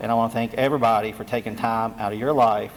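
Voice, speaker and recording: In a Southwest Virginia accent, a man talks at a very fast pace. His pitch is medium. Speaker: state energy official. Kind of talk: public meeting presentation. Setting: community meeting room with audience. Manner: halting.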